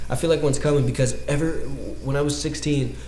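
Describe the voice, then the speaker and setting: A man with an American accent at a very fast pace, amid audible room echo and noticeable background noise. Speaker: dance podcast host. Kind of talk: casual monologue. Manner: animated.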